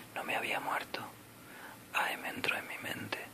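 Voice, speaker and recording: A man is whispering. Noticeable background noise runs behind him. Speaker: ASMR creator. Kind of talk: ASMR book reading for sleep. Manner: whispered, soft-spoken, slow.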